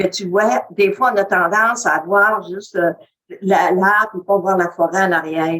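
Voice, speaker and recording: With a Quebec accent, a woman speaks fairly slowly at a medium pitch and with fairly even intonation. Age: 80s+. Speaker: webinar participant. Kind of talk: testimony. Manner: halting.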